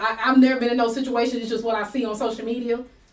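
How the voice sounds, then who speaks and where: Against noticeable background noise, a woman talks at a high pitch. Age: 40s. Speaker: livestream talk show host. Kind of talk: live talk show discussion. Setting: livestream.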